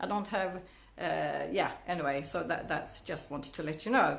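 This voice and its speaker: A woman with a Swedish accent and vocal fry, ordinary pitch variation, and audible room echo. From Sweden. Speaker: network marketing coach. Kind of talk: Facebook Live talk to viewers. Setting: Facebook Live video stream. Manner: halting, with many restarts and fillers.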